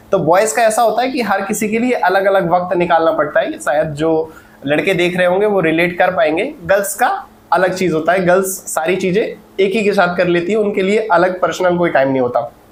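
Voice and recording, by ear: A man's high-pitched voice at a fairly quick pace, with few pauses, ordinary pitch variation and audible room echo.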